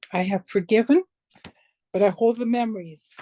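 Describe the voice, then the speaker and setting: A woman speaks fairly slowly in a dark, mellow tone with ordinary pitch variation. The sound is dry and close with no echo. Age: 60s. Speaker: abuse survivor. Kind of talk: testimony.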